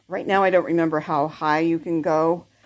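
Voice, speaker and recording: Against a quiet background, a woman with a fairly low pitch speaks at a fairly slow pace in a flat, monotone way. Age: 70s. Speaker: product reviewer. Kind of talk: product review demo. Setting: at home, on camera. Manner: casual, hesitant. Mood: relaxed, pleased. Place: home room. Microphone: phone near.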